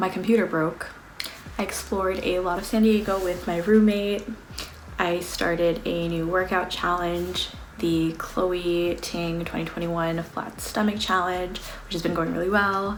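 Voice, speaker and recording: Amid audible room echo and noticeable background noise, a woman with an American accent speaks at a fairly low pitch in monotone, flat intonation. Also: fairly slow pace. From US West Coast, Los Angeles. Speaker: beauty and lifestyle vlogger. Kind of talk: casual monthly favorites vlog. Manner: casual, filler-heavy (um, like).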